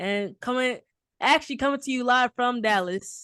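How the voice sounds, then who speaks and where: With a Southern accent, a woman talks in a bright, sharp tone and lively intonation against a quiet background. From Texas, Houston. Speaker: podcast host. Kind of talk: casual chat.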